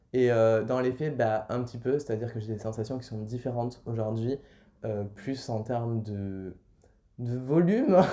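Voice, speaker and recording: A man's medium-pitched, dark and mellow voice at a fairly slow pace, in a very clean recording with a silent background. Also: fairly even intonation. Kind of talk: vlog, personal update. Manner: hesitant, many fillers.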